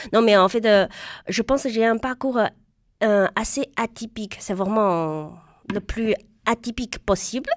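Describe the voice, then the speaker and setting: A woman with a fairly high pitch and ordinary pitch variation talks in a passionate tone at a fairly slow pace with long, frequent pauses, on a very clean recording with a silent background and a dry, close sound with no echo. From China. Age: young. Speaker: stand-up comedian. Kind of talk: radio interview answer. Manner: lively, passionate.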